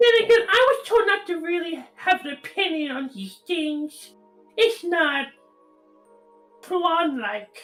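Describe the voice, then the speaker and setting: In a put-on character voice, the pitch is extremely high and the pace fairly slow, with long, frequent pauses and faint music in the background. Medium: actual play. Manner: hesitant, rambling.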